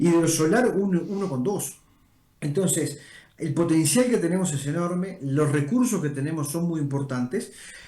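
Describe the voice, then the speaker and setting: A man in a Rioplatense accent, high in pitch, at a moderate pace with ordinary pitch variation and audible room echo. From Uruguay. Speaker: energy organization director. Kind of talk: interview.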